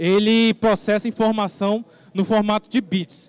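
The speaker is a man. His voice is high-pitched. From Brazil, Rondônia (Guajará-Mirim); Rondônia, Brazil. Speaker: forensic expert giving a tech talk; conference presenter. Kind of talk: lecture. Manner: halting, with frequent fillers. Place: stage.

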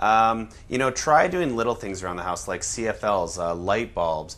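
A man talks at a moderate pace in a fairly low voice. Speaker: guest. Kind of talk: interview answer. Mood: relaxed, friendly. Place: kitchen. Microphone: lapel.

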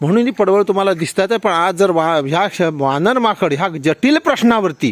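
Dry and close with no echo, a man's high voice carries lively intonation. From Konkan, Maharashtra. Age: 60s. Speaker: farmer. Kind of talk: testimony.

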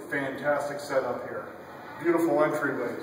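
At a moderate pace, a man talks in a room with audible echo and light background noise. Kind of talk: promotional walkthrough commentary. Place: cafe. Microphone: camera far.

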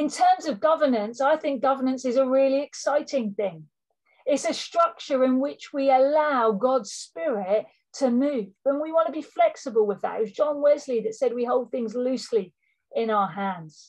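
A woman speaks in a high voice with lively intonation. Her pace is moderate. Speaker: regional ministry leader giving a presentation. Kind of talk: formal church organisational address. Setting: online meeting.

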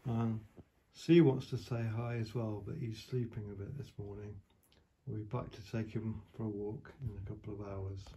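A man's somewhat breathy, fairly low voice, dark and mellow in tone, with fairly even intonation, a moderate pace and light background noise. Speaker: motorcycle vlogger. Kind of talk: casual vlog chat. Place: home room. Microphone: phone near.

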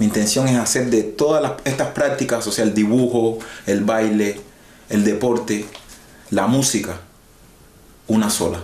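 A man talks at a fairly slow pace with long, frequent pauses, his intonation fairly even and his loudness very even, with audible room echo around him. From Cuba. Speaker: singer-songwriter and guitarist; guest. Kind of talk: interview. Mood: relaxed, smiling.

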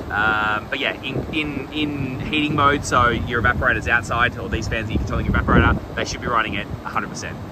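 A man at a fairly quick pace with ordinary pitch variation, in a dry sound with no echo and loud background noise. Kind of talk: casual technical explanation. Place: open country. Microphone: phone near.

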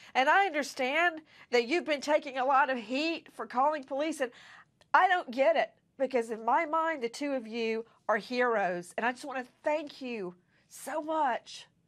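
Over a quiet background, a woman talks at a moderate pace with a high pitch and ordinary pitch variation. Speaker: TV news host. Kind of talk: news show introduction. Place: studio. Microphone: lapel.

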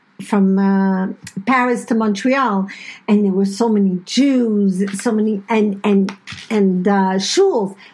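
A woman's medium-pitched, somewhat breathy voice at a very slow pace, with fairly even intonation and very even loudness. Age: 60s. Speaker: podcast co-host, host's mother. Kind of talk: casual chat. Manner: talkative.

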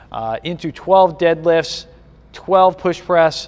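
A man talks at a very slow pace while light background noise plays behind him. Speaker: fitness coach. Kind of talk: tutorial. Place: gym. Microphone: phone near.

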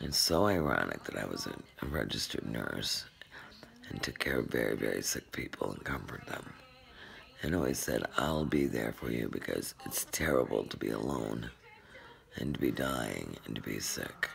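A woman's whispering at a moderate pace, weary in tone. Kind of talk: personal confessional vlog. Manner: weary, worn, sleepless ill voice. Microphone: phone near.

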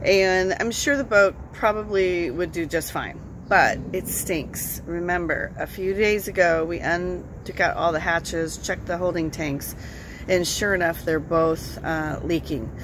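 Amid noticeable background noise, a woman talks at a fairly slow pace with ordinary pitch variation and a dry sound with no echo. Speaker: boat owner vlogger. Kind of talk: casual vlog chat. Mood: mildly frustrated update. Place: street. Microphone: phone near.

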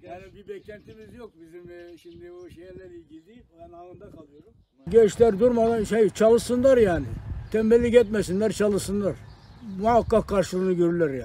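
The speech moves at a moderate pace with ordinary pitch variation and big swings in loudness. The sound is dry with no echo, over light background noise. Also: man, high pitch for a man. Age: 70s. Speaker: retired police officer. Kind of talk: interview answer. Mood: calm, encouraging advice. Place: garden. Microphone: phone near.

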